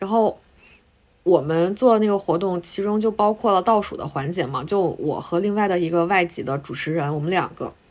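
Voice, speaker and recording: A woman speaks at a moderate pace with a medium pitch and ordinary pitch variation in a plain, everyday voice. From Northeast China (Harbin). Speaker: podcast co-host, journalist. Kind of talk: casual chat.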